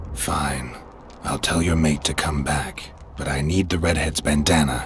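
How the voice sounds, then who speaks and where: This man uses a put-on character voice with a very deep, low pitch. He talks at a moderate pace over clear background noise. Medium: machinima. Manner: dry, deadpan.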